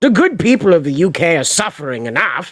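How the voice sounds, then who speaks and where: Speaking at a moderate pace with an American accent, a man uses a fairly high pitch and some vocal fry. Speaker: streamer. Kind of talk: casual chat.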